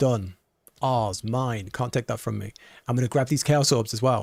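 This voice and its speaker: A man speaks in a British accent at a medium pitch. The recording is very clean, with a silent background. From Britain. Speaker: video game streamer. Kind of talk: live gameplay stream chat. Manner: animated.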